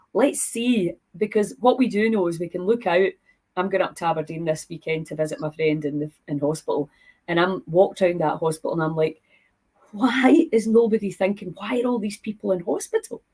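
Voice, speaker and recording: Somewhat breathy, this woman's voice has a dark, mellow tone. Her intonation is lively. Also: medium pitch for a woman, fairly quick pace. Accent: Scottish. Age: 60s. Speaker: podcast host. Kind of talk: casual interview chat.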